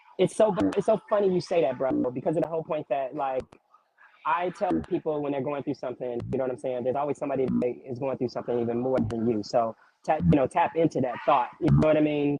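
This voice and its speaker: Someone talks at a very fast pace with ordinary pitch variation while music plays in the background. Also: man, fairly high pitch for a man. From Chicago, west side. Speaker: TV location scout. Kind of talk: casual interview chat.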